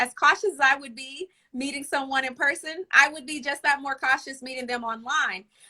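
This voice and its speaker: In a slight Southern US accent, a woman speaks at a fairly quick pace with a raised, projected voice, high pitch, ordinary pitch variation and a bright, sharp tone. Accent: slight Southern twang. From US South, Arkansas. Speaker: relationship coach and author. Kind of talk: casual chat.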